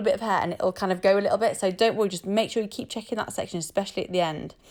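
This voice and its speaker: Over a very clean recording with a silent background, a woman talks very fast in a fairly high voice with ordinary pitch variation. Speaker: hair and makeup artist. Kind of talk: tutorial. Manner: casual.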